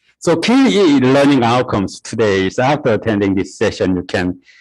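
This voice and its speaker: A man at a fairly slow pace on a very clean recording with a silent background. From South Korea. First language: Korean. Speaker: university lecturer. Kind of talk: lecture. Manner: halting, many fillers.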